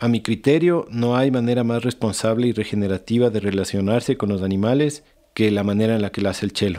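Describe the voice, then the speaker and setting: Over a silent background in a very clean recording, a man speaks fairly quickly with a dark, mellow tone and fairly even intonation. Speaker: podcast host. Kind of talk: podcast interview.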